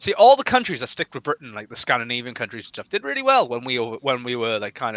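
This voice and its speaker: With a Welsh accent, a man talks very fast in a bright, sharp tone and lively intonation, the sound dry and close with no echo. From Wales. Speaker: political podcast guest. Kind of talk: casual chat. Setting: live stream.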